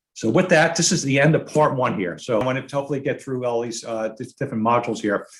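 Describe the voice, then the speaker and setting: A man at a medium pitch, somewhat breathy, with ordinary pitch variation, a very fast pace and hardly any pauses. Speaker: dental lab technician and presenter. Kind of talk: webinar lecture. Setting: online webinar. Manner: halting, with many fillers.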